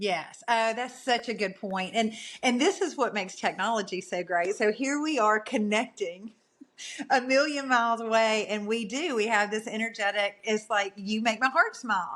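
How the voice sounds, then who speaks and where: Recorded very cleanly against a silent background, this voice speaks at a moderate pace with a Southern US accent and ordinary pitch variation. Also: woman, fairly high pitch for a woman. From US South. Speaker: podcast guest. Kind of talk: casual interview chat.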